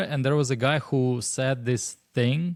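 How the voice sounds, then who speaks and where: A man with a Russian accent on a very clean recording with a silent background. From Russia (Moscow). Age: 30s. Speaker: stand-up comedian. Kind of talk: casual chat.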